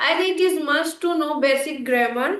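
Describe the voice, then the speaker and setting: A woman speaks with an Indian accent. Audible room echo surrounds her voice. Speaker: English learning YouTuber. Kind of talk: casual conversation practice. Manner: hesitant, many fillers.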